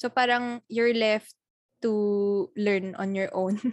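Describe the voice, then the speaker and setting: A woman speaks at a very slow pace, her pitch medium. The background is quiet. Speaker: podcast co-host. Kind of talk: casual chat.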